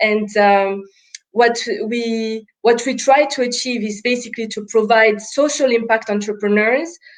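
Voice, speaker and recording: Her pitch is fairly high. The woman speaks at a fairly slow pace. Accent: French. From France and Congo. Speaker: impact investor, startup co-founder. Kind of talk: panel interview on live webinar.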